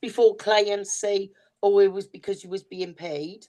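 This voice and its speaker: Speaking with a Welsh accent, a woman has a dark, mellow tone at a medium pitch. Her intonation is lively and her pace fairly slow. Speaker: podcast co-host, psychic reader. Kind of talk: casual chat.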